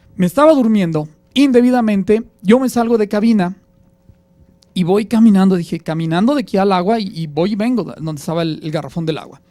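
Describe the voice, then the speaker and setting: A man's high-pitched voice, dark and mellow in tone, at a fairly quick pace with lively intonation. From Mexico, Aguascalientes. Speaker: radio announcer. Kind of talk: interview, personal anecdote.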